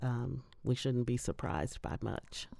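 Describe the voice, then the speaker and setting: A woman with a Midwestern US accent has a dark, mellow tone on a very clean recording with a silent background. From Indiana, Indianapolis. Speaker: higher education worker and voter. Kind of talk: interview. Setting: studio.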